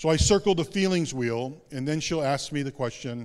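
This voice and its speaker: A man's plain, everyday voice at a fairly high pitch and fairly quick pace, with ordinary pitch variation, on a very clean recording with a silent background. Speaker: pastor. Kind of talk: sermon. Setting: church.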